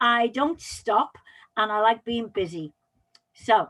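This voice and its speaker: This woman has a Welsh accent and a fairly high pitch. Her intonation is lively. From Wales, Pembrokeshire. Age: 60s. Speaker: public speaking coach. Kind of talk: interview.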